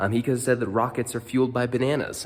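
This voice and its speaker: A man speaks in a playful tone. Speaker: teacher. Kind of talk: educational video talk to camera. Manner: casual, playful.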